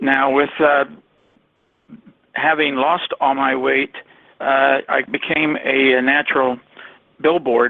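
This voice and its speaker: A man with an American accent speaks very slowly in monotone, flat intonation, with very even loudness and long, frequent pauses. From Ohio. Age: 60s. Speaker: network marketer. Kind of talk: testimony. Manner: halting, many fillers.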